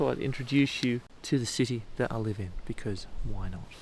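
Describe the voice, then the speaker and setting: A man talks quietly. His pace is moderate. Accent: Australian. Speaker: photography vlogger. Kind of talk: vlog to camera. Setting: outdoors at mountain lookout. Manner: speaking quietly; casual.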